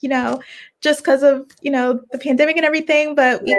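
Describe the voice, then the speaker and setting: A woman with an American accent. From Virginia, Richmond. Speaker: fashion merchandiser and podcaster. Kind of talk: casual interview.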